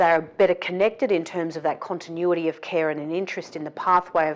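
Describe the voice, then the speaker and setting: A woman with an Australian accent talks at a very fast pace. Her pitch is fairly low and her intonation fairly even. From south coast of New South Wales, Australia. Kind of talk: interview answer.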